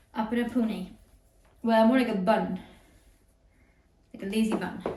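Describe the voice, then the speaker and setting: A woman's fairly high voice at a moderate pace, fairly even in intonation, over noticeable background noise. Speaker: home decor vlogger. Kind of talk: casual talk to camera.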